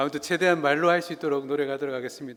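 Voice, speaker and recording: The recording is very clean with a silent background. Intonation stays fairly even. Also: man. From South Korea, Busan (Gyeongsang). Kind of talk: lecture. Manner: conversational, engaging audience.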